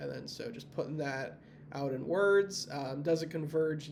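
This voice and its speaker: A man talks at a moderate pace in a room with audible echo. Noticeable background noise sits behind him. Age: 20s. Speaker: university student. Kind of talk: tutorial. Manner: hesitant, many fillers.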